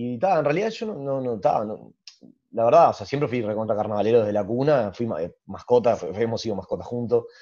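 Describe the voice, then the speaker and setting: Talking at a very fast pace, a man shows big swings in loudness and ordinary pitch variation. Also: medium pitch for a man. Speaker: carnival group founder and choreographer. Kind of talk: casual interview chat.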